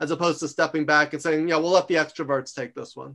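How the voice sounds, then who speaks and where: Over a quiet background, a man with an American accent speaks in a bright, sharp tone at a fairly high pitch. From New York. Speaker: author and university lecturer. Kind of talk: interview. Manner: loud; fast.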